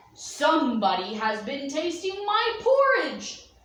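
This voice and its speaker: Growling in a put-on character voice, the speaker moves at a fairly slow pace with very wide pitch swings and a slight echo. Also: woman, extremely high pitch for a woman. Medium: read story.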